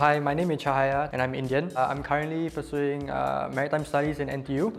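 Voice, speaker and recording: A man's fairly high-pitched voice, very fast and flat in a monotone, over music in the background. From Singapore. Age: 20s. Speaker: dating show contestant. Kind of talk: casual chat.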